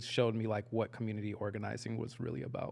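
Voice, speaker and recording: A man speaks with a Texan accent. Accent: Texan American English. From Texas, Dallas. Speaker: community organizer. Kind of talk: casual interview chat.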